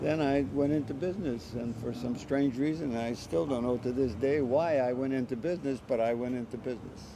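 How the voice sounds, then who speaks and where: His voice sits at a medium pitch and varies in an ordinary way. There is audible room echo around the man. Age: 80s+. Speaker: drum maker and drummer. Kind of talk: interview conversation. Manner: halting, with many fillers.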